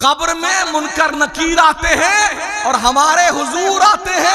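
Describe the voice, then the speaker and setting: Against noticeable background noise, a man uses a raised, projected voice at an extremely high pitch. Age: 60s. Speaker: Islamic preacher. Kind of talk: sermon. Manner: animated.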